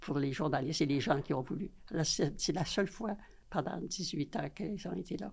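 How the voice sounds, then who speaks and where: A woman with a very deep, low, somewhat breathy voice speaks at a moderate pace with lively intonation. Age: 90s. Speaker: interview guest. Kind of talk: casual chat. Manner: halting.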